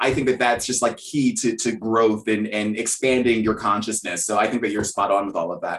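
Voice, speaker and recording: A man's plain, everyday voice at a medium pitch, with fairly even intonation, a fairly quick pace and hardly any pauses. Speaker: podcast host. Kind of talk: casual interview chat.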